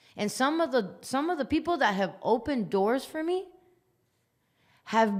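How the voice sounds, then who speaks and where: This woman has an American accent and a high pitch. Her intonation is lively. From Las Vegas, US. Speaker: musician. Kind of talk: podcast interview. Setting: studio.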